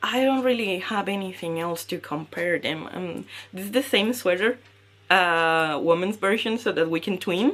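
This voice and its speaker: A woman with a Spanish accent at medium pitch and a moderate pace, with ordinary pitch variation, in a very clean recording with a silent background. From Mexico. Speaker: knitting podcaster. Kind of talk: casual podcast talk. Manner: hesitant with fillers.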